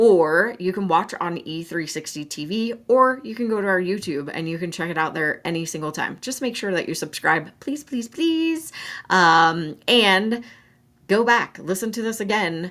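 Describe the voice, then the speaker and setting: This is an ordinary speaking voice, a woman with an American accent at medium pitch. She moves at a moderate pace with lively intonation. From Colorado, US. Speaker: mental health show host. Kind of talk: solo talk show, advice and promotion. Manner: casual, chatty.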